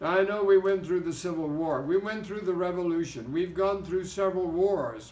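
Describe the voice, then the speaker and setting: Audible room echo fills the recording. A man speaks in a high voice. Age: 80s+. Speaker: pastor. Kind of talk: exhortation.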